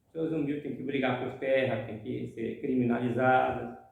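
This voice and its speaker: Amid audible room echo, a man with a medium pitch speaks with vocal fry and fairly even intonation. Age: 60s. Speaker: housing movement activist. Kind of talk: interview testimony.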